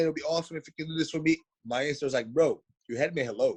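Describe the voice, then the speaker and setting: Delivered at a very fast pace, the speech carries an animated tone and a Portuguese accent. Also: man. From Brazil. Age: 40s. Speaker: mixed martial artist. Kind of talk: casual chat.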